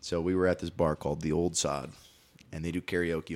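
The recording is very clean, with a silent background. A man with an American accent speaks in a very deep, low pitch with ordinary pitch variation. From Wisconsin, Green Bay. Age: 20s. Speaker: podcast guest. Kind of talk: casual chat.

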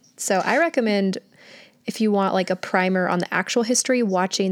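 In a plain, everyday voice, a woman talks fairly quickly at a medium pitch with fairly even intonation. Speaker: podcast host. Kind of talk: casual chat. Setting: video call.

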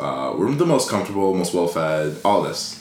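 A man with a Californian accent and a very deep, low pitch talks at a moderate pace, with noticeable background noise and audible room echo. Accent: Californian American. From Los Angeles. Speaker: entrepreneur. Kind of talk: casual chat.

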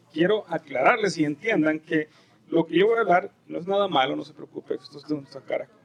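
A man with a high voice speaks with ordinary pitch variation and big swings in loudness. The sound is dry and close with no echo, and there is noticeable background noise. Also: fairly quick pace. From El Salvador. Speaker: pastor. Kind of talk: sermon. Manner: animated.

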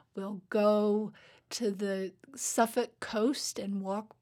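A woman speaks with a dark, mellow tone. Her intonation is monotone and flat. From Alaska, Fairbanks. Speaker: English professor and writer. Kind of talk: interview. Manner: halting, with frequent repetitions.

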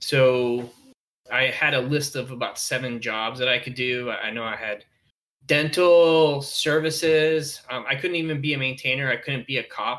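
A man with an American accent speaks at a moderate pace and a medium pitch, using fairly even intonation and a bright, sharp tone. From Colombia-born, raised in the US from age three. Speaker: Air Force paralegal. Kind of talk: casual interview.

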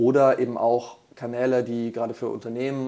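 This man talks in a monotone, flat intonation at a medium pitch. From Franconia, Germany. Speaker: corporate strategist. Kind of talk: podcast interview.

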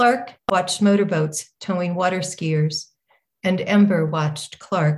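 A woman speaks at a fairly slow pace with an American accent, her voice somewhat breathy. Her pitch sits in the middle range with ordinary variation. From Northern California. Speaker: author. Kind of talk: reading aloud. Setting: stage with audience.

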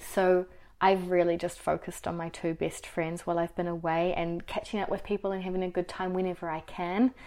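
With a New Zealand accent, the speaker talks at a fairly quick pace in monotone, flat intonation on a very clean recording with a silent background. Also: woman, fairly low pitch for a woman. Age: 20s. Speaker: HR professional and YouTuber. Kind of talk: interview.

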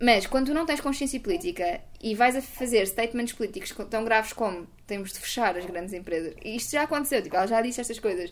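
A woman races along at a very fast pace, her intonation lively. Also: fairly high pitch for a woman. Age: 20s. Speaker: sustainability communicator. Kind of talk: casual interview chat. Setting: at home.

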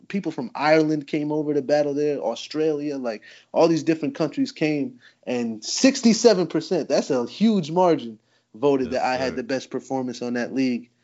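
With an American accent and a plain, everyday voice, a man of fairly high pitch talks at a moderate pace with lively intonation. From New Jersey, US. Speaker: battle rapper. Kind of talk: casual chat.

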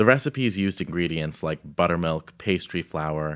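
A man's very deep, low pitch comes through on a very clean recording with a silent background. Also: dry, close sound with no echo. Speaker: baker and storyteller. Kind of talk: reading aloud personal essay.

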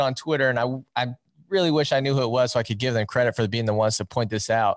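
This man talks very fast with an American accent, and the background is quiet. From Iowa, US Midwest. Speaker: wrestling YouTuber and show host. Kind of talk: casual interview chat.

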